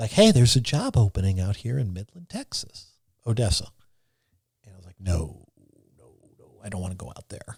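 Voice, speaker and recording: With an American accent, a man talks at a fairly quick pace in a somewhat breathy, fairly low voice with ordinary pitch variation, big swings in loudness, and long, frequent pauses. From New York. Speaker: TV meteorologist. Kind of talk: podcast interview. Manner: fast; animated.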